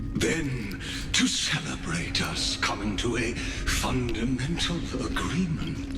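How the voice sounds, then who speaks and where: A man's cartoonish character voice at a fairly slow pace, with slight echo and loud background noise. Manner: grandiose, measured.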